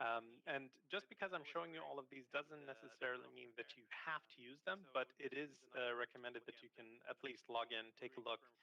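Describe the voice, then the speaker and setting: A man speaks at a medium pitch and a fairly quick pace. His pitch varies in an ordinary way. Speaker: cybersecurity trainer. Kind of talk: tutorial. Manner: fast.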